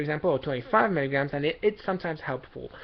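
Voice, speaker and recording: Someone with a non-native accent talks at a very fast pace. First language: not English. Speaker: vlogger sharing personal experience. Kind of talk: personal advice monologue. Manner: halting, many fillers and restarts.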